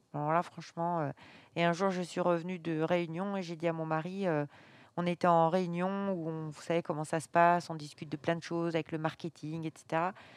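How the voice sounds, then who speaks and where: Against a quiet background, a woman with a fairly low pitch speaks in a monotone, flat way at a moderate pace. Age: 50s. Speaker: baker and business owner. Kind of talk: interview. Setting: in her bakery at night. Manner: halting, many hesitations.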